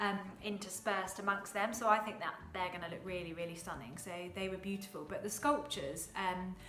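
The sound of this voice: A woman speaks at a fairly quick pace with a medium pitch, and audible room echo surrounds her voice. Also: ordinary pitch variation.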